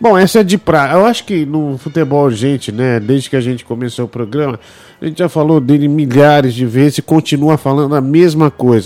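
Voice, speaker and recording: A man talks at a fairly quick pace in a dark, mellow tone. His pitch is fairly high, with ordinary variation. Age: 30s. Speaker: football podcast host. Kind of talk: casual chat.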